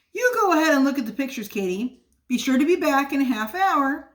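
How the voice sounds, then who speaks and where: Putting on a character voice, a woman races along at a very fast pace, high-pitched with very wide pitch swings. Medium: read story.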